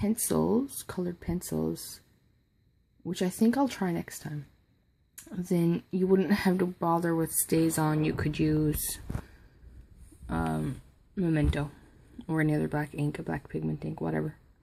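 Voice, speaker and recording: A soft-spoken woman talks at a fairly slow pace. Her speech has long, frequent pauses. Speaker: crafting youtuber. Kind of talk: tutorial. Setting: at home at night. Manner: halting.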